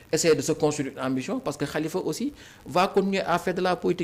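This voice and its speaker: Speaking very rapidly, a man lets his pitch move by normal amounts. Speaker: politician. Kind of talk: political interview.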